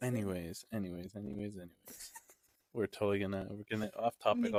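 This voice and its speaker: A man's fairly low voice at a very fast pace. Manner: casual, joking.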